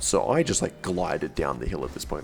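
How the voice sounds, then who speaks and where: Over music in the background, a man speaks at a moderate pace with a very deep, low pitch. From Australia. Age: 20s. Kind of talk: casual storytime to camera.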